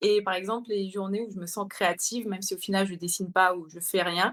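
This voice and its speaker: An unremarkable speaking voice at a fairly quick pace, with ordinary pitch variation, on a very clean recording with a silent background. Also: woman. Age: 30s. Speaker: illustrator and content creator. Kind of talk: interview.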